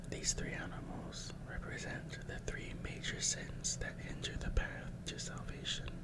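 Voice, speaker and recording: Whispered speech at a fairly slow pace, with hardly any pauses. Noticeable background noise sits under the voice. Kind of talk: ASMR reading of facts while eating.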